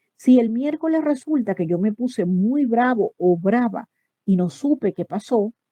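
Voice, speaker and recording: Using an ordinary speaking voice, a woman talks with lively intonation. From Venezuela. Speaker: psychologist. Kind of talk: online talk. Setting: online voice chat on a messaging app.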